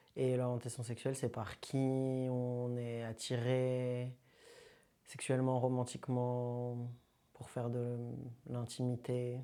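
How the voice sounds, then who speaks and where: Speech creeps along very slowly. Pauses come often and last a long time. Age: 20s. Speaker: filmmaker. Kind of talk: interview testimony. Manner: casual.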